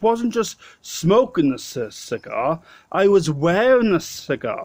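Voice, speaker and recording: With a South Wales accent and lively intonation, a man speaks in a very clean recording with a silent background. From Wales, Swansea. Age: 30s. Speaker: vlogger. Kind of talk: casual storytelling. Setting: pub. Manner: halting.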